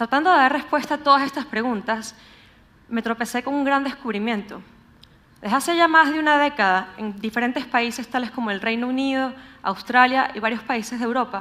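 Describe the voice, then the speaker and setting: A woman with a Venezuelan accent, high in pitch, with ordinary pitch variation at a fairly quick pace. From Venezuela, Caracas. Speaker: urban researcher, public speaker. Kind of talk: conference talk.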